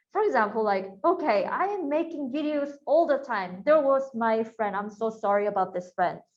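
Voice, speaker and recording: With a Korean accent, a woman speaks at a fairly high pitch and a moderate pace, hardly pausing, her pitch swinging very widely. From South Korea. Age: 30s. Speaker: YouTube creator and workshop instructor. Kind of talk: online workshop talk. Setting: video call. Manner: casual, animated.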